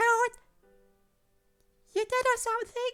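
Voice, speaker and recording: In a put-on character voice, the speaker talks at an extremely high pitch, nasal and monotone with flat intonation, over faint music in the background. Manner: cringy, exaggerated.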